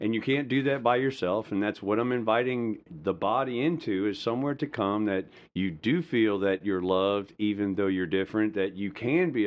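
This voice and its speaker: Ordinary pitch variation at a moderate pace, with very even loudness and hardly any pauses. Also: man. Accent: Southern US. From US South, rural Georgia (Madison County). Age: 40s. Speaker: pastor and military veteran. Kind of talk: personal testimony and preaching-style talk.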